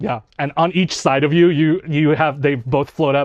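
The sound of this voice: A man speaks at a moderate pace. His voice is fairly high, with fairly even intonation.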